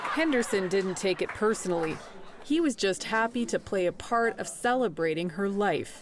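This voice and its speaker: A woman's lively intonation comes at a very even loudness, with noticeable background noise behind her. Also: medium pitch for a woman, moderate pace. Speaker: reporter. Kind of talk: TV news report narration.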